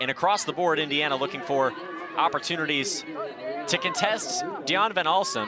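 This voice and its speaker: The voice shows ordinary pitch variation amid noticeable background noise. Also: man. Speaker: sports broadcaster, play-by-play announcer. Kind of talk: TV field hockey play-by-play. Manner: energetic, fast.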